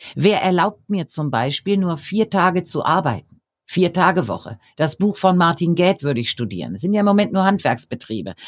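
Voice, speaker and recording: In a very clean recording with a silent background and a dry, close sound with no echo, a woman with a fairly low pitch, vocal fry and lively intonation talks at a moderate pace with hardly any pauses. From Bavaria, Germany (Regensburg). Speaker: professor and coach. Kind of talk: interview.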